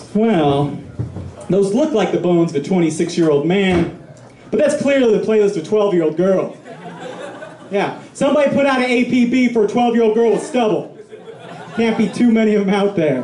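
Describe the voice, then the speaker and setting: In a room with audible echo and noticeable background noise, a high-pitched man with an American accent speaks at a fairly quick pace, lively in intonation, with long, frequent pauses. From Colorado (Pueblo). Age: 20s. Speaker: stand-up comedian. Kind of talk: stand-up. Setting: stage with audience. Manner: halting, many fillers.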